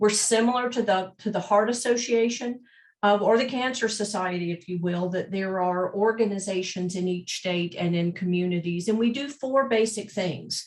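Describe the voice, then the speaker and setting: Against a quiet background, a woman with a slight Southern US accent talks at a moderate pace and hardly pauses, her medium pitch showing ordinary variation. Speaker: mental health advocacy representative. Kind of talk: panel presentation.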